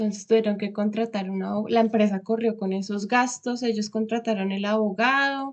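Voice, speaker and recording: Her voice unremarkable and fairly high-pitched, a woman speaks at a moderate pace with fairly even intonation. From Colombia, Bogotá. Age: 20s. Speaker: vocational trainee, former lawyer. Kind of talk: interview.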